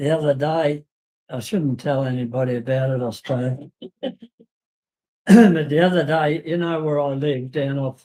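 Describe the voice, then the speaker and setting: Speaking at a moderate pace with an Australian accent, the voice breaks up with long, frequent pauses. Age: 80s+. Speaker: retiree at a community centre. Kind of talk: casual chat. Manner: halting.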